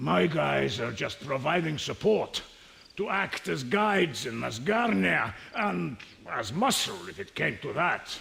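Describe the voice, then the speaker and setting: A man puts on a character voice at medium pitch. His pitch swings very widely. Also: fairly slow pace. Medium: video game. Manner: blustering.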